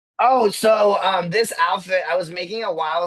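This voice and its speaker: A man speaks in an animated tone. Noticeable background noise runs behind him. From Peru. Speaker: drag performer. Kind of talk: casual interview.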